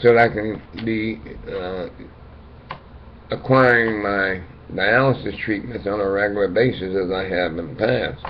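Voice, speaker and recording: A man speaks at a fairly slow pace with a fairly low pitch, ordinary pitch variation and long, frequent pauses. Audible room echo fills the recording. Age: 60s. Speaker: dialysis patient vlogger. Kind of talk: casual monologue. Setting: webcam recording. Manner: halting.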